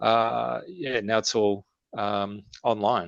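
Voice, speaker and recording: A fairly low-pitched man's voice with an Australian accent. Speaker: metal band frontman. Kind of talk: casual interview chat.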